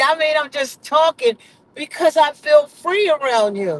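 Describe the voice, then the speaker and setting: A man's raised, projected voice, animated and with lively intonation, in a dry, close recording with no echo. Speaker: vlogger. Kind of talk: casual chat. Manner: loud.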